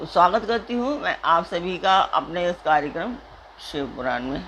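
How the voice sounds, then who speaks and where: With noticeable background noise behind her, a woman speaks in a fairly low-pitched voice. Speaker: religious text reader, channel host. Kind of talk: casual appeal to viewers. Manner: soft-spoken; hesitant with fillers.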